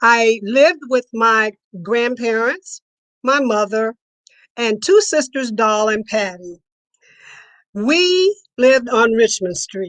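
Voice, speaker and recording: Against a quiet background, a woman with a fairly high pitch talks at a very slow pace with long, frequent pauses and lively intonation, in a dry, close sound with no echo. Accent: American. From Cincinnati, Ohio. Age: 80s+. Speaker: storyteller. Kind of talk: personal storytelling.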